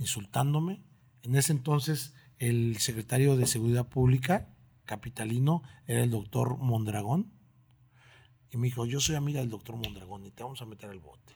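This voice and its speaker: A man's dark, mellow, somewhat breathy voice at a medium pitch, with ordinary pitch variation, a moderate pace and long, frequent pauses. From Mexico, Oaxaca and Mexico City. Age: 40s. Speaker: restaurant maître d'. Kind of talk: casual interview. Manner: animated storytelling.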